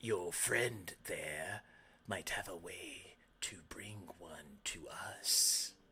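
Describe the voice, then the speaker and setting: A raspy, whispered put-on character voice from a man, at a very slow pace with long, frequent pauses. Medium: actual play. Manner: sly, bargaining.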